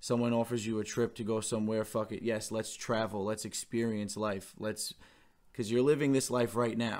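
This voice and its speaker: Monotone, flat intonation from a man with an American accent at a moderate pace, on a very clean recording with a silent background. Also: medium pitch for a man. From New York. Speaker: podcast co-host. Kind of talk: casual chat.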